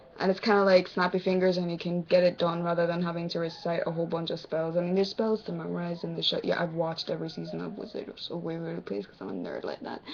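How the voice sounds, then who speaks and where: A woman with an American accent talks very fast at a fairly low pitch. Noticeable background noise runs underneath. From Jamaica, partly raised in the US. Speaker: vlogger. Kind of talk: casual vlog Q&A.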